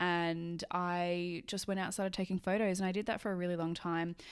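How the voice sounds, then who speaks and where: A woman with an Australian accent, fairly low pitch, a fairly quick pace and monotone, flat intonation, on a very clean recording with a silent background. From Australia, Sydney. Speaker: photographer and podcast host. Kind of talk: solo monologue, casual podcast. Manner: casual, chatty.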